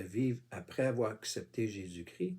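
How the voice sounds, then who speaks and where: A man with a Quebec accent speaks very slowly at a medium pitch, his dark, mellow tone somewhat breathy and his pitch variation ordinary. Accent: Québécois. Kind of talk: informal religious monologue. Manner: halting, many fillers; casual, addresses viewer with tu.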